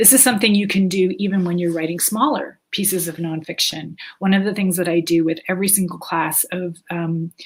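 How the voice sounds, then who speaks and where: With a Canadian accent, a woman talks fairly quickly and hardly pauses, her somewhat breathy voice showing ordinary pitch variation. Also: medium pitch for a woman. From Canada. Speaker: author and writing teacher. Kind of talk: webinar lecture. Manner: halting, many fillers.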